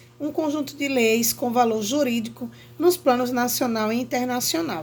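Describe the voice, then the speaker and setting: This woman's voice is high-pitched. Its pitch varies in an ordinary way. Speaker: teacher. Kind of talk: lecture.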